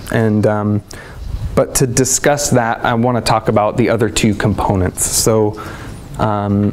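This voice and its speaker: The speech holds a very even loudness against noticeable background noise. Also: man, fairly low pitch for a man. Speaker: herbalist teacher. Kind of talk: lecture. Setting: conference stage with audience. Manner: animated.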